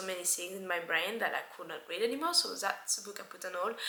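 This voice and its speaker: A woman speaks at a medium pitch with a French accent. Audible room echo surrounds her voice. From France. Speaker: book vlogger. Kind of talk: casual book review monologue. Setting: at home by window.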